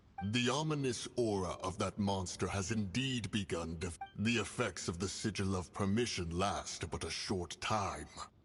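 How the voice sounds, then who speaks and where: A man puts on a character voice at a fairly low pitch. He goes at a moderate pace with hardly any pauses, over clear music in the background. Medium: video game. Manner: grave, formal.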